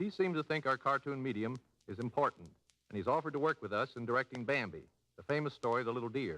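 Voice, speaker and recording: A man talks very fast at a medium pitch, his bright, sharp tone edged with vocal fry in a dry, close sound with no echo. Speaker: animated film producer. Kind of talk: radio interview answer. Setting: old radio broadcast.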